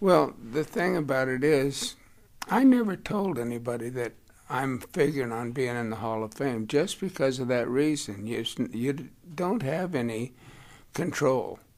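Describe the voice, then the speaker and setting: At a fairly slow pace, a man with an American accent speaks in an ordinary speaking voice at a medium pitch with lively intonation. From Southern California (El Centro). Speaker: retired baseball umpire. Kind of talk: interview.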